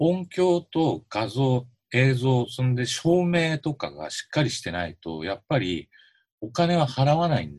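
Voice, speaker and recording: Speaking at a fairly slow pace, a somewhat breathy man with a medium pitch makes very wide pitch swings and big swings in loudness, in a dry, close sound with no echo. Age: 50s. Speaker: musician and podcast co-host. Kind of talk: casual chat.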